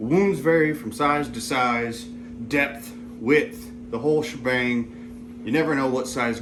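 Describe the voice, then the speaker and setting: A man talks with hardly any pauses. Audible room echo and noticeable background noise surround him. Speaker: tactical gear reviewer. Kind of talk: casual gear tutorial. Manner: rambling, halting.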